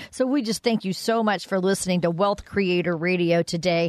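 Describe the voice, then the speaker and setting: An unremarkable speaking voice from a woman, moderate in pace and ordinary in pitch variation. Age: 60s. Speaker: radio co-host. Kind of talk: radio show hosting.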